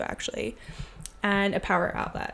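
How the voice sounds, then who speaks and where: A woman talks at medium pitch and a moderate pace. She has a plain, everyday voice. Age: 30s. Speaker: podcast host. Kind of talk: casual monologue. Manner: casual, filler-heavy.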